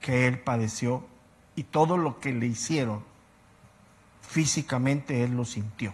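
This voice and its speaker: Against a quiet background, a man at a medium pitch talks at a fairly slow pace with ordinary pitch variation, a somewhat breathy voice and long, frequent pauses. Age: 60s. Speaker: Bible teacher. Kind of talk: lecture.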